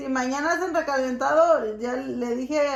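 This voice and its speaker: Noticeable background noise behind a woman at high pitch, speaking at a fairly slow pace with ordinary pitch variation. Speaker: vlogger. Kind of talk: casual talk to camera and family conversation.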